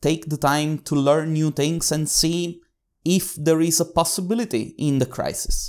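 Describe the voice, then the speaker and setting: On a very clean recording with a silent background, a man with a normal speaking voice talks at a fairly slow pace in a fairly high pitch with ordinary pitch variation. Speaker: business consultant and conference co-founder. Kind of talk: interview, conversational.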